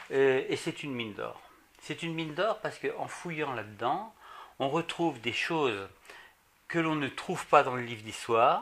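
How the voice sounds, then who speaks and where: The speaker keeps a moderate pace with lively intonation. Long, frequent pauses break up the speech. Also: man. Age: 60s. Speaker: retired banker, association president. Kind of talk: interview at home. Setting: at his home. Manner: hesitant, with fillers.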